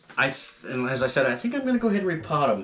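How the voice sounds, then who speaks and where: A man with an American accent speaks with lively intonation. Noticeable background noise is present. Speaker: gardening YouTuber. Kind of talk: tutorial. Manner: casual, hesitant with fillers.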